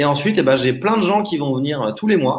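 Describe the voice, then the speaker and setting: Somewhat breathy and fairly high-pitched, a man talks at a fairly quick pace with lively intonation. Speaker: online marketing trainer. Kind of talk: live webinar presentation. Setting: live stream with chat. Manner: fast.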